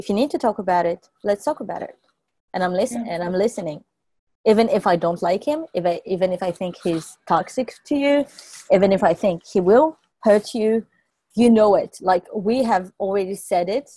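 A woman with a French accent, dark and mellow in tone, lively intonation, a fairly quick pace, and a quiet background. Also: dry sound with no echo. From France. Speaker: podcast guest. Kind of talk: casual chat. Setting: in person. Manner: halting. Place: home room. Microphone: earbuds.

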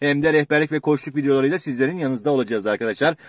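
A man's voice sits over a quiet background. There is no echo, and the sound stays dry. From Turkey, Manisa (Kırkağaç); Manisa, Turkey. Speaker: exam prep teacher (Turkish and literature); exam prep teacher. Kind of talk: educational vlog talk. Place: car. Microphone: phone near.

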